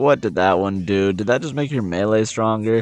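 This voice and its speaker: With music playing in the background, a man talks in lively intonation, the sound dry and close with no echo. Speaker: gaming content creator. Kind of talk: casual gaming commentary.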